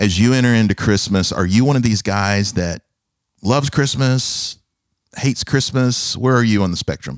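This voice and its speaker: In a very clean recording with a silent background, a man speaks in a normal speaking voice at very even loudness with ordinary pitch variation. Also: medium pitch for a man, moderate pace. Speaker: pastor and podcast host. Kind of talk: casual interview chat. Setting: studio, office. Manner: warm, laughing.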